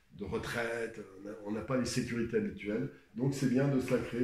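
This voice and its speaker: A man talks at a moderate pace with lively intonation and a medium pitch. Audible room echo surrounds his voice. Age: 60s. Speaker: painter. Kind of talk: advice talk. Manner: halting.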